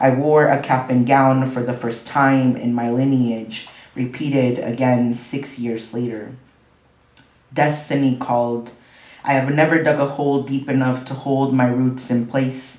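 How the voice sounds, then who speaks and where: Against audible room echo, a man speaks at medium pitch with monotone, flat intonation. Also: fairly slow pace. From Mexico, then Southern California and Las Vegas. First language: Spanish. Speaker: poet. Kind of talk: poetry reading.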